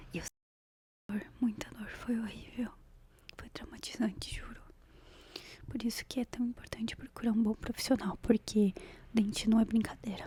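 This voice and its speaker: A woman whispers fairly slowly, her loudness swinging widely between long, frequent pauses. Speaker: ASMR creator. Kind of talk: ASMR gossip storytelling to camera. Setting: close microphone. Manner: soft-spoken.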